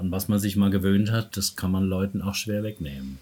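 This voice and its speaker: A man with a very deep, low pitch talks in a somewhat breathy way. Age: 70s. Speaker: personal development coach and therapist. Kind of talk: interview.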